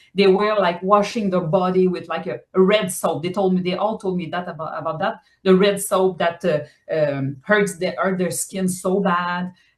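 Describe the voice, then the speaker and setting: A woman in a French accent, medium pitch, fairly even intonation and moderate pace. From Quebec, island in the St. Lawrence. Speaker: novelist. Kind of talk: interview. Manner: halting, many fillers and repetitions.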